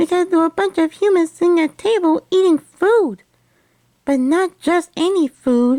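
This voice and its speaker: This female-sounding voice is a squeaky, cartoonish character voice. Its pitch is extremely high, and the pace is moderate. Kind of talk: puppet show storytelling. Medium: puppet show. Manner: earnest, chatty, polite.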